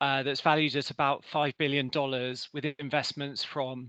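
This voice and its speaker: Speaking at a moderate pace, a man with a British accent has a fairly high pitch, a bright, sharp tone, and monotone, flat intonation, in a dry, close sound with no echo and a quiet background. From Britain. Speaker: energy company representative. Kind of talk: presentation.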